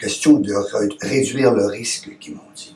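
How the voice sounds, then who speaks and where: Very slowly, a man speaks with noticeable background noise around him. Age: 60s. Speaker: testimonial actor playing heart patient. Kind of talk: testimony. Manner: halting, with hesitations.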